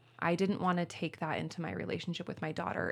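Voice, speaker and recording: A woman speaks at a very fast pace with an American accent. The recording is very clean, with a silent background. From Spokane, Washington, US. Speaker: pastor. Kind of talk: casual interview chat. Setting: studio, drinking rosé.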